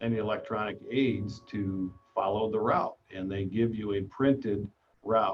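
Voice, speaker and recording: A man speaks at a medium pitch, using a normal speaking voice and ordinary pitch variation. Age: 60s. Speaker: motorcycle rider and mold maker. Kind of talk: casual chat. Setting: live video stream.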